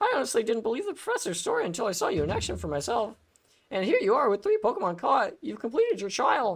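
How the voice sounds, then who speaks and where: A put-on character voice, strained and fairly high, at a very fast pace. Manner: strained, effortful.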